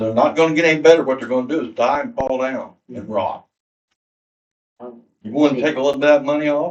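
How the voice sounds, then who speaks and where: An unremarkable speaking voice moves at a fairly quick pace, with ordinary pitch variation and big swings in loudness. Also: man, fairly high pitch for a man. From southern Indiana. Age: 60s. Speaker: local resident at public meeting. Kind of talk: town hall question from the floor. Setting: public town hall meeting.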